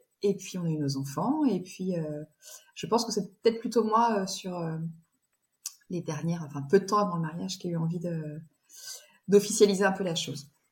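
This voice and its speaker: Somewhat breathy, a woman speaks with big swings in loudness, ordinary pitch variation, and long, frequent pauses. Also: medium pitch for a woman, moderate pace. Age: 40s. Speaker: bride sharing her wedding dress story. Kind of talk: interview. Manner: halting.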